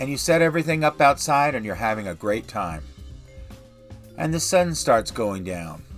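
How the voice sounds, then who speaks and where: Man at a medium pitch with very wide pitch swings, music in the background. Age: 60s. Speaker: retiree living in an RV. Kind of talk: narrated intro.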